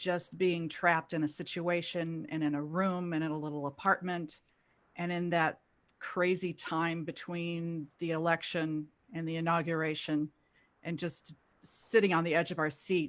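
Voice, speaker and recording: With an American accent, a woman speaks at a moderate pace in a fairly low pitch and monotone, flat intonation, captured in a very clean recording with a silent background. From US South, Louisville, Kentucky. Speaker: actor. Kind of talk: panel discussion.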